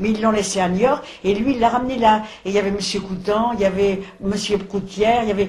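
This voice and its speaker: A woman speaks at a fairly quick pace and medium pitch with fairly even intonation. Audible room echo and noticeable background noise fill the recording. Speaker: elderly witness recounting wartime childhood. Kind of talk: oral history interview. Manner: halting.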